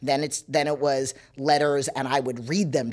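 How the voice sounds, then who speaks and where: A woman with an American accent and a very deep, low pitch talks at a moderate pace. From New York. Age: 40s. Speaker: personal trainer. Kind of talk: casual chat.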